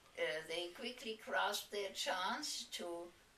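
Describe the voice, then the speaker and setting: Amid noticeable background noise and audible room echo, a woman speaks very slowly at a medium pitch with ordinary pitch variation. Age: 80s+. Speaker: interviewer. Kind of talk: reminiscing interview.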